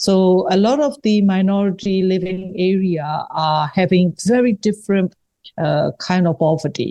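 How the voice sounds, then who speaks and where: A woman with a medium-pitched, dark, mellow voice speaks at a fairly slow pace, keeping her loudness very even and her pitch variation ordinary. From Myanmar, Rangoon. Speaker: writer and human rights activist. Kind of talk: interview. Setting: podcast interview. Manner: halting.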